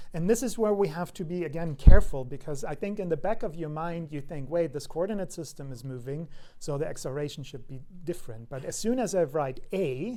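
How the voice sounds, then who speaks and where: A man with a fairly high voice speaks at a fairly quick clip, his loudness swinging widely and his intonation lively, with audible echo from the room. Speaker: university lecturer. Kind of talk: lecture. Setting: lecture hall. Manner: fast; hesitant with fillers.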